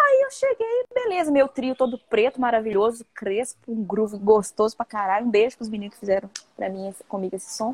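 A woman talks at a fairly quick pace in an ordinary speaking voice, pitched fairly high. The sound is dry and close, with no echo. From Minas Gerais, Brazil (Viçosa). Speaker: singer-songwriter. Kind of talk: casual chat.

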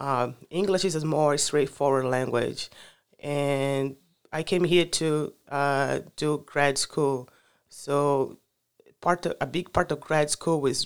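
Over a silent background in a very clean recording, a woman with a very deep, low voice speaks very slowly with fairly even intonation. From Brazil, Rio de Janeiro. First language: Portuguese. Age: 30s. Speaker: climate advocate. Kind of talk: casual interview. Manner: halting.

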